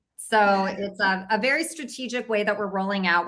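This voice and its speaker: A woman speaks with an American accent at a fairly quick pace. She has an unremarkable speaking voice at medium pitch. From US West Coast, Orange County California. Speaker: cannabis company co-founder. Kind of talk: interview.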